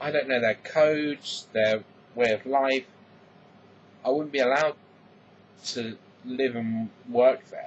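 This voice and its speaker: A man in an English accent at a medium pitch, fairly slow and fairly even in intonation, with long, frequent pauses. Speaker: vlogger. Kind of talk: casual vlog monologue.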